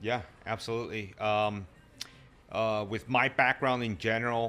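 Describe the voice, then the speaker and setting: A man speaks at a moderate pace and medium pitch, with a bright, sharp tone and fairly even intonation. The recording is very clean, with a silent background. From Latin America, immigrant to US. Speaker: fitness and martial arts coach. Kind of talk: casual chat.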